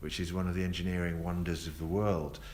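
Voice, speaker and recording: A man's very deep, low voice with a South East London accent, in audible room echo. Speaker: tour guide. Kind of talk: live tour commentary. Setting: on a moving tour bus. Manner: casual, with many fillers.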